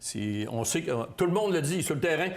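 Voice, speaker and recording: Amid audible room echo, a man speaks with lively intonation. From Quebec, Bas-Saint-Laurent near Rimouski. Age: 60s. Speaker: political candidate. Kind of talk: interview. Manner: halting.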